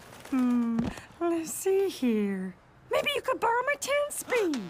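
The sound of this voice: A cartoonish character voice, extremely high in pitch, moves at a fairly slow pace with very wide pitch swings.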